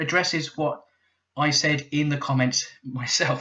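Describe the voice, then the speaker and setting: With a British accent, a man speaks in a fairly high voice that sounds bright and sharp. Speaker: YouTube commentator. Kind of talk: casual commentary reading comments. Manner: casual with many fillers.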